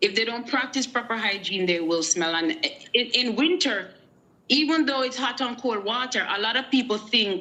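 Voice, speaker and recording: The woman speaks with a Jamaican accent and a bright, sharp tone. Her intonation is lively. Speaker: guest on a live show. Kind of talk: casual chat. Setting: live stream.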